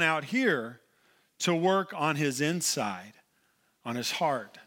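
A bright, sharp tone with an American accent, in a very clean recording over a silent background. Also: man. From Oklahoma. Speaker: pastor. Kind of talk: sermon. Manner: halting.

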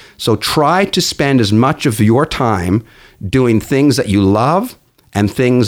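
A man with a Canadian accent and an ordinary speaking voice talks at medium pitch with lively intonation. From Newfoundland, Canada. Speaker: business coach. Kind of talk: interview.

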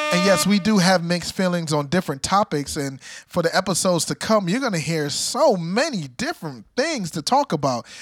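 Over music in the background, a man talks at a fairly quick pace in a high voice, his tone animated and his intonation lively, with hardly any pauses. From Jamaica. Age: 30s. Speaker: podcast co-host. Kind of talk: casual chat.

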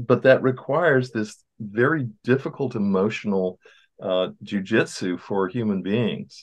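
A man's normal speaking voice at medium pitch, fairly slow, with ordinary pitch variation and a quiet background. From US small town. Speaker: therapist and podcast co-host. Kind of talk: casual chat.

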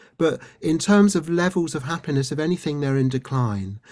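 A man speaks with a British accent at a moderate pace. The recording is very clean, with a silent background. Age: 60s. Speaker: doctor and resilience trainer, author. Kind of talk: interview.

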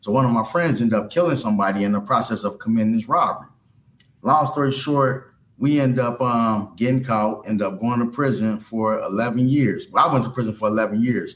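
An ordinary speaking voice, a man's at medium pitch, moves fairly quickly with fairly even intonation and very even loudness. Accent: American. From US Midwest, Cincinnati, Ohio. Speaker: ex-offender turned entrepreneur and youth mentor. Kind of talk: interview, life story.

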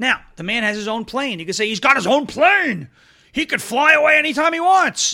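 A man's raised, projected voice moves at a fairly quick pace with a bright, sharp, animated tone and very wide pitch swings. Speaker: political talk show host. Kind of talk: opinionated commentary show. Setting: studio. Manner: fast talker.

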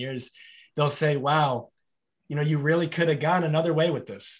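Here a man is talking. He goes at a very fast pace. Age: 30s. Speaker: podcast host. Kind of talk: interview.

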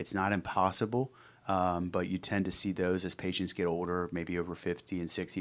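With an American accent, a man with a very deep, low voice talks at a fairly quick pace in a flat monotone, recorded very cleanly against a silent background. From Cincinnati, Ohio (US Midwest). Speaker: orthopedic surgeon. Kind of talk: interview.

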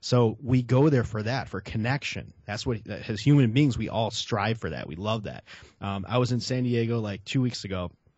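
A man in a Chicago accent speaks at a moderate pace and medium pitch with ordinary pitch variation. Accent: Chicago American English. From Chicago, South Side. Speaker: real estate marketing expert. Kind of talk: interview. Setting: video call. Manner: casual, filler-heavy.

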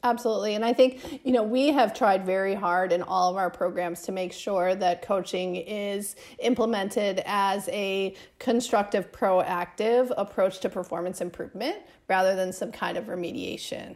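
A woman speaks with an American accent at a moderate pace, her pitch medium and its variation ordinary. Noticeable background noise runs behind her. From US Midwest, Chicago. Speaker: surgeon and professor. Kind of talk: interview.

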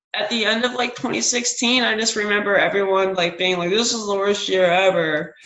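With an American accent, a woman talks at a moderate pace and medium pitch, using ordinary pitch variation and hardly any pauses, over noticeable background noise. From US South, North Carolina (Wilson). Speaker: musician in a band. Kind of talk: casual interview chat. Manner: hesitant, many fillers.

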